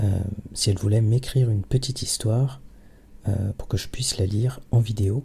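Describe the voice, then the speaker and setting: A soft-spoken man talks at a moderate pace in a dark, mellow, somewhat breathy tone, with fairly even intonation and long, frequent pauses. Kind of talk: casual talk to camera.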